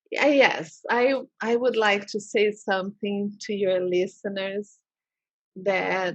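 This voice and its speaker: A woman speaks with a non-native accent. Her medium pitch shows ordinary variation. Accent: foreign accent in English. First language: Portuguese. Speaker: holistic therapist. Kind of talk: interview. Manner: halting.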